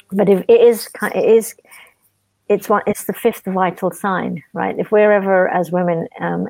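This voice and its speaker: In a very clean recording with a silent background and a dry, close sound with no echo, a woman with a British accent speaks in a dark, mellow tone with fairly even intonation. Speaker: charity founder. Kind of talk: interview.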